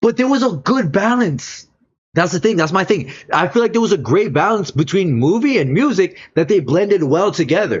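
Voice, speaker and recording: At a moderate pace, a man with a high pitch talks in an animated tone, with very wide pitch swings and very even loudness. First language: not English. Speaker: streamer. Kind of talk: casual reaction commentary.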